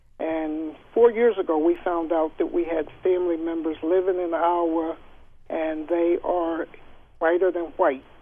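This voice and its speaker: A man talks at a fairly slow pace in a high voice. His intonation is monotone and flat. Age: 60s. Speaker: caller. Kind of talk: call-in discussion.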